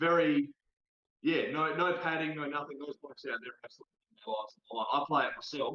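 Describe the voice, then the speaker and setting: Speaking at a very fast pace, a man with an Australian accent uses a fairly high pitch with ordinary variation, and the sound is dry and close with no echo. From South Australia. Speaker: TikTok creator. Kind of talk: casual chat. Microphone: delay, poor internet connection.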